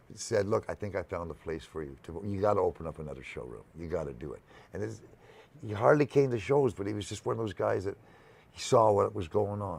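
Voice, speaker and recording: Speaking very fast with vocal fry and big swings in loudness, a man with a Canadian accent comes through on a very clean recording with a silent background. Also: lively intonation. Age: 70s. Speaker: music venue founder. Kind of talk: interview conversation. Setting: live broadcast on location. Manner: halting.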